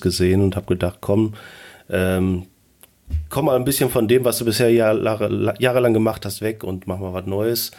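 A man with a normal speaking voice speaks at a fairly low pitch with fairly even intonation. The recording is very clean, with a silent background. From Germany, near Bielefeld (East Westphalia). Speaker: voice assistant expert, computer scientist. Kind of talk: interview.

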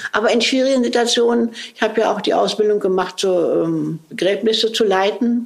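Over noticeable background noise, a woman talks at a fairly quick pace with very even loudness. Her voice is fairly high, with ordinary pitch variation. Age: 70s. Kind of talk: interview conversation.

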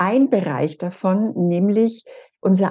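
A woman's dark, mellow, somewhat breathy tone at a medium pitch, with lively intonation. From Franconia, Bavaria (Erlangen). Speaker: happiness coach. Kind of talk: interview conversation.

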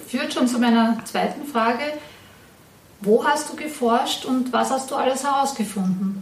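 A woman speaks at a fairly slow pace in a high pitch with ordinary pitch variation, leaving long, frequent pauses. Audible room echo and noticeable background noise fill the recording. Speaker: podcast host, district museum staff. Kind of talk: casual interview and presentation.

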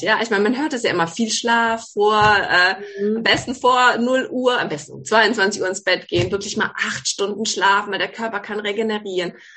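A plain, everyday voice, ordinary in its pitch variation, moving at a moderate pace. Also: woman. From Baden, southwest Germany. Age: 40s. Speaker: gynecologist, author. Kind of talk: interview.

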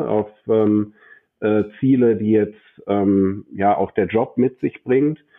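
With fairly even intonation, a man talks very slowly in a fairly low voice. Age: 40s. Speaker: bank branch manager and business coach. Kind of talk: interview.

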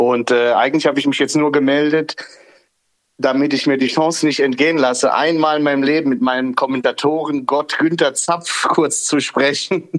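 A man speaks with an unremarkable speaking voice at a fairly high pitch. His loudness stays very even and his intonation is fairly even. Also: moderate pace. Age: 40s. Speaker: listener calling in. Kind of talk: casual chat. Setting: online audio call.

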